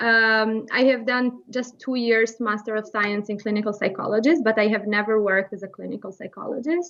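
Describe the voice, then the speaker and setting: A woman with an Albanian accent talks at a fairly quick pace. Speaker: behavior therapist. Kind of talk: interview. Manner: halting.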